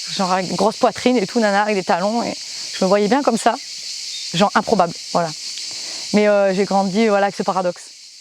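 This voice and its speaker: A woman's medium-pitched voice at a very fast pace, with long, frequent pauses, fairly even intonation and noticeable background noise. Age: 30s. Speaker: musician and singer, footballer. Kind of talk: interview testimony. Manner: halting, many hesitations.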